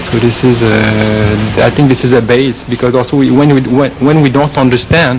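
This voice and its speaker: A man with a slight French Canadian accent speaks at a moderate pace in a flat monotone at medium pitch. Noticeable background noise sits behind him. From Quebec. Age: 40s. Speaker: Buddhist monk. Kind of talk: interview. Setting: forest meditation retreat. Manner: halting, many fillers.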